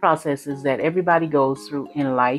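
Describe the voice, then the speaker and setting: Faint music plays in the background. A woman speaks at a fairly quick pace. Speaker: sewing vlogger. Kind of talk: casual vlog chat. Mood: earnest, hopeful. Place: home room. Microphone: lapel.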